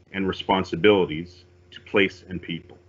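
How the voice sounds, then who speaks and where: A man speaks in a fairly low pitch. His intonation is fairly even. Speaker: police officer. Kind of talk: formal opening remarks. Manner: formal. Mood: calm, formal, respectful. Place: home room. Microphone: video call.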